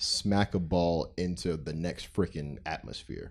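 The man's voice sits at a very deep, low pitch. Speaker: podcast host. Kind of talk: casual chat. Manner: stutter.

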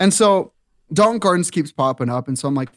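A man with an American accent talks at a very fast pace with lively intonation. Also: dry, close sound with no echo. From eastern Montana. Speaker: youth and worship minister. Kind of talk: casual chat. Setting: studio.

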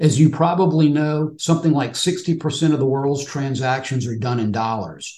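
A man's dark, mellow, somewhat breathy voice, fairly high in pitch, with ordinary pitch variation at a moderate pace. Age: 60s. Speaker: retail options trader, retired financial services professional. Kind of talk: interview.

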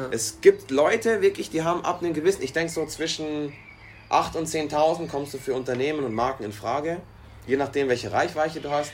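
A man with an unremarkable speaking voice talks at a fairly quick pace, his fairly high pitch moving with ordinary variation. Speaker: podcast co-host, restaurant worker. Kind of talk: casual chat.

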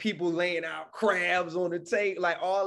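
A man with a Savannah accent at a fairly slow pace. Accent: Savannah Southern drawl, elongated speech. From Savannah, Georgia (US South). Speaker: hip hop artist. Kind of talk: interview. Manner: casual, conversational.

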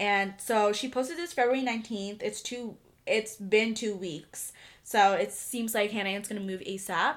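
A woman with an American accent speaks in an ordinary speaking voice at a fairly high pitch and moderate pace, with ordinary pitch variation. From Virginia. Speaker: podcast host. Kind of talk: casual chat.

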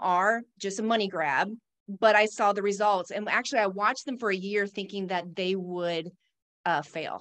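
At a moderate pace, a woman speaks in a plain, everyday voice with a medium pitch. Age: 50s. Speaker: pharmacist and fitness instructor. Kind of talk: casual interview chat.

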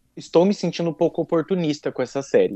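Against a quiet background, a man with a São Paulo interior accent and a dark, mellow tone speaks at a very fast pace in a dry, close sound with no echo. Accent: caipira (rural São Paulo interior). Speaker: podcast guest. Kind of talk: casual chat.

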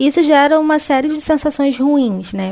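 A woman at a fairly slow pace. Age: 20s. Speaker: journalist. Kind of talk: testimony.

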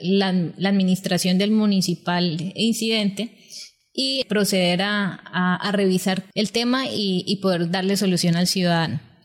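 A woman talks at a fairly slow pace in an ordinary speaking voice, with medium pitch and ordinary pitch variation. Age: young. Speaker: social leader and public management expert. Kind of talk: interview, explaining policy.

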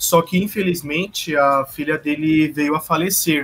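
A man talks in an ordinary speaking voice at a fairly high pitch. His pace is fairly slow and his intonation fairly even. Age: young. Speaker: podcast co-host. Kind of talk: casual chat.

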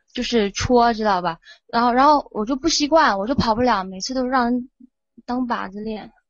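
Loudness swings widely while the pace stays moderate and pitch varies in an ordinary way. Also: woman, high pitch for a woman. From Guizhou, Guiyang. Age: young. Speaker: caller. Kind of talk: casual chat.

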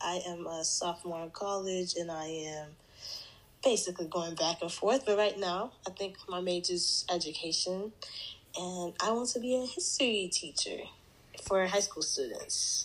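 A woman has a normal speaking voice, with medium pitch, ordinary pitch variation and a moderate pace. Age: young. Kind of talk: casual chat.

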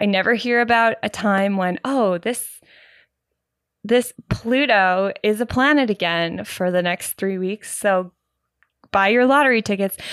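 Recorded very cleanly against a silent background, with a dry, close sound and no echo, a woman with a Canadian accent speaks fairly slowly in a plain, everyday voice of medium pitch with ordinary pitch variation. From Canada. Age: 30s. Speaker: podcast host, musician and dance teacher. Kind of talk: casual solo monologue. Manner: rambling with fillers and sighs.

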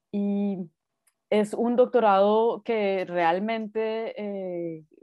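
This is a woman's voice. She talks with monotone, flat intonation. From Colombia, Bogotá. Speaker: artist. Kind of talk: interview conversation. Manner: hesitant with fillers.

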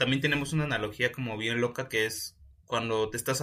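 Bright and sharp in tone, a man with a Mexican accent speaks with fairly even intonation. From Mexico, Oaxaca. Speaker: podcast co-host. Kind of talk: casual chat.

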